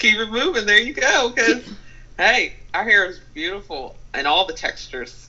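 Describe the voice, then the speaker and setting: Pitch swings very widely and loudness rises and falls in big swings. The pace is moderate. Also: woman, fairly high pitch for a woman. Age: 20s. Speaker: college student. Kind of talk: casual interview chat. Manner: hesitant, many fillers.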